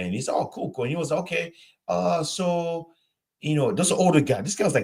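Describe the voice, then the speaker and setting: A man talks at a fairly quick pace in a somewhat breathy voice. His pitch swings very widely. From Nigeria. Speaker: live stream host. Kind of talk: casual chat. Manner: halting, many repeated words.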